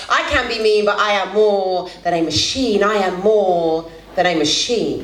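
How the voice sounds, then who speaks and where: Noticeable background noise sits behind a woman with a fairly high pitch and ordinary pitch variation. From London. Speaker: spoken word poet. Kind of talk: live spoken word poetry performance. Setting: live venue. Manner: raw, emotive.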